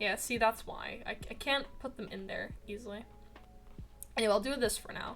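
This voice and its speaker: The speech moves at a fairly quick pace. The voice is quiet. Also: woman. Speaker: streamer and artist. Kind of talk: casual live-stream chat while drawing. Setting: live stream. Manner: quiet, focused.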